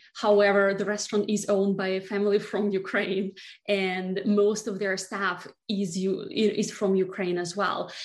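A woman talks fairly slowly in a Russian accent. Her medium-pitched voice stays monotone and flat. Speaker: beauty brand founder. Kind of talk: interview.

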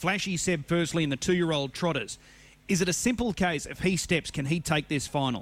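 In a very clean recording with a silent background, a man speaks fairly quickly at a high pitch with ordinary pitch variation. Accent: Australian. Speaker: harness racing radio host. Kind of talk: radio interview.

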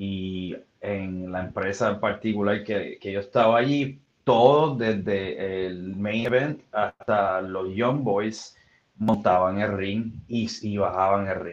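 Speaking very slowly, a man uses a fairly low pitch that varies in an ordinary way. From Puerto Rico, west. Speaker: former professional wrestler and musician. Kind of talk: casual interview.

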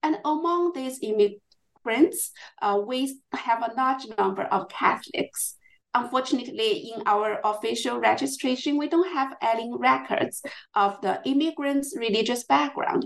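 The speaker has a Chinese accent. Delivery is fairly slow, with lively intonation. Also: woman, high pitch for a woman. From China, Chongqing. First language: Mandarin Chinese. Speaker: historian. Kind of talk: interview. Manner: halting.

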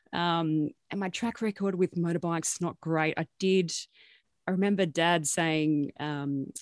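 A speaker with an Australian accent uses ordinary pitch variation on a very clean recording with a silent background. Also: woman. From rural New South Wales, Australia (Gunnedah, Armidale). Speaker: journalist and news editor. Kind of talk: interview.

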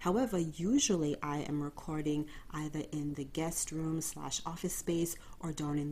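Quiet and very deep for a woman, her voice has a warm yet dark, mellow tone, ordinary pitch variation and a moderate pace. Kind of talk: podcast monologue. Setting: bedroom at home. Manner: subdued, quiet tone; warm, direct address.

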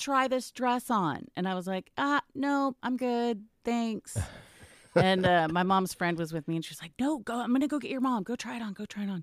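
A woman with a normal speaking voice and an American accent talks at a moderate pace in a fairly high pitch, with lively intonation. The sound is dry and close with no echo, on a very clean recording with a silent background. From Texas, Garland (Dallas area). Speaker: voice actress. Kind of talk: casual interview. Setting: in-person at a trade school.

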